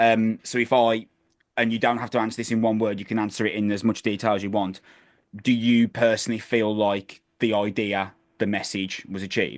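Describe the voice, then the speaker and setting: In a flat monotone, a man with a fairly low voice speaks at a fairly quick pace. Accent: West Midlands. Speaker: music interviewer. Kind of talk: interview. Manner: casual.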